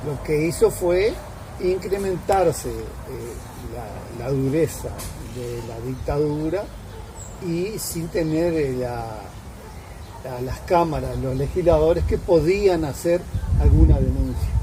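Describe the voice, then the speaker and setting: A man speaks at a very slow pace with long, frequent pauses and big swings in loudness, with audible room echo and noticeable background noise. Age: 70s. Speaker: retiree interviewee. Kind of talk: interview. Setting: at home.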